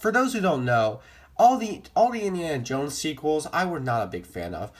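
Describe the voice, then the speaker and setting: A man talks at a fairly quick pace, his pitch swinging very widely. His voice is somewhat breathy. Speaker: movie vlogger. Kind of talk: casual improvised commentary. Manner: fast; halting, self-correcting.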